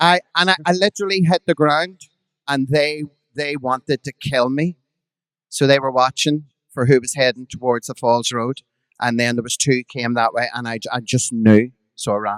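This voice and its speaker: A man with a Belfast accent talks at a moderate pace, the sound dry and close with no echo. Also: medium pitch for a man, ordinary pitch variation. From Belfast, Northern Ireland. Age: 50s. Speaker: drag performer. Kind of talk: live podcast storytelling. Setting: stage with audience.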